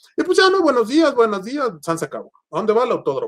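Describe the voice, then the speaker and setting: A man is speaking. His intonation is lively. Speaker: car content creator, podcast guest. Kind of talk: casual interview chat. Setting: video call.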